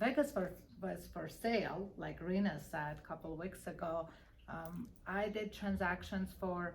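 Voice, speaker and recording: Vocal fry runs through fairly slow speech, with audible room echo. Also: woman, fairly low pitch for a woman, ordinary pitch variation. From Armenia. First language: Armenian. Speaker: real estate broker. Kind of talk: interview.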